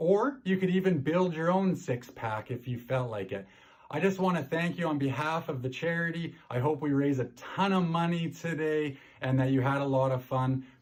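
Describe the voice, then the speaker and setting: Speaking with a Canadian accent and an animated tone, a man uses a fairly high pitch with ordinary variation, sounds somewhat breathy, and keeps a moderate pace in a very clean recording with a silent background. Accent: Canadian farmer. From Canada. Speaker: wine presenter. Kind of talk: wine tasting presentation. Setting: recorded video for virtual event.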